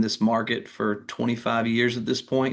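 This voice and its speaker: This man has a medium pitch and a Southern US accent. His intonation stays monotone and flat. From North Carolina (Durham). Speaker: mortgage lender. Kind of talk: interview.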